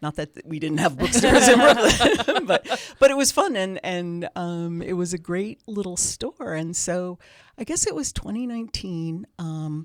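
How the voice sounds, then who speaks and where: A woman's normal speaking voice with lively intonation on a very clean recording with a silent background. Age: 60s. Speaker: bookstore owner. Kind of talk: casual interview chat. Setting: studio.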